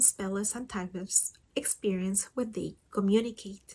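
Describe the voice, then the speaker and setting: A woman with a non-native accent speaks in a somewhat breathy voice. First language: not English. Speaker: communication support partner. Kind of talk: scripted personal reflection.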